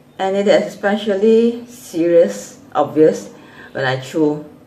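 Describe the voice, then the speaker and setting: Very wide pitch swings fill a woman's speech over noticeable background noise. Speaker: vlogger with a chronic illness. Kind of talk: casual vlog chat. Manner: halting.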